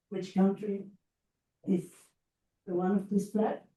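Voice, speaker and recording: Somewhat breathy, a woman speaks with a Spanish accent and a dark, mellow tone. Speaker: education consultant and lecturer. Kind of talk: lecture. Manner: halting.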